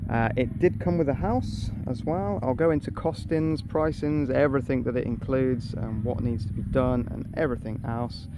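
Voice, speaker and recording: A man with a British accent speaks at a moderate pace and medium pitch, with ordinary pitch variation, hardly any pauses and audible room echo. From UK. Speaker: expat vlogger. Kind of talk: casual vlog talk. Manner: unscripted, hesitant.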